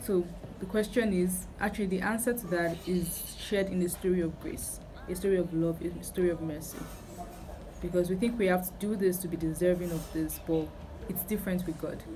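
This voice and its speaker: Amid noticeable background noise and audible room echo, a woman speaks at a fairly quick pace with a medium pitch and fairly even intonation. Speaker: youtuber. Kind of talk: testimony. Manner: casual, hesitant with fillers.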